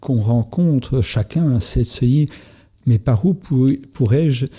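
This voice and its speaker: A man's medium-pitched, somewhat breathy voice with a dark, mellow tone and ordinary pitch variation. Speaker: entrepreneur and coach. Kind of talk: podcast conversation. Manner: halting, many hesitations.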